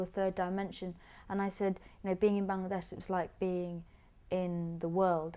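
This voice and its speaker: In a London accent, a woman speaks fairly quickly with a dark, mellow tone. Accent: British English (London). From England, British Bengali. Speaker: artist. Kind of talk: documentary interview. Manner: halting, with frequent repetitions.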